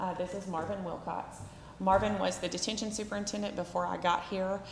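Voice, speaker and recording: Amid audible room echo and noticeable background noise, a woman with an American accent speaks at a medium pitch in a monotone, flat intonation. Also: fairly quick pace. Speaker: juvenile detention director. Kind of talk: public meeting report. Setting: county commissioners court meeting. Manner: loud.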